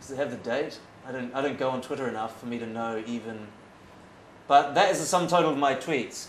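Ordinary pitch variation marks this man's speech, heard with audible room echo and light background noise. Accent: New Zealand. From New Zealand. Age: 30s. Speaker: foreign correspondent. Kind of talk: after-dinner talk. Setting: stage with audience. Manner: talkative. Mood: relaxed, amused. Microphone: lapel.

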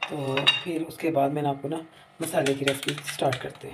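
Low-pitched for a woman, she talks at a fairly quick pace with little pitch movement.

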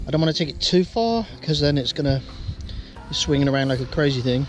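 A man talks with clear music behind him. The sound is dry, with no echo. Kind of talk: explanatory DIY talk. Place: boat. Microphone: phone near.

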